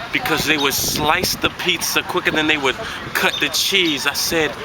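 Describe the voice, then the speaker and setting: A man with a fairly high voice keeps a moderate pace while noticeable background noise runs underneath. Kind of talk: spoken word poetry performance.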